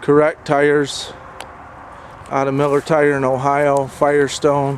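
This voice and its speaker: Fairly slow, monotone, flat delivery from a man with a fairly high pitch, over noticeable background noise. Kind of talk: sales description of a tractor for sale.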